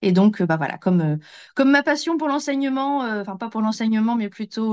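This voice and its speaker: The background is quiet. A woman with a fairly high pitch talks at a moderate pace with lively intonation. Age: 40s. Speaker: former teacher and travel enthusiast. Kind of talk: casual interview. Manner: hesitant, many fillers.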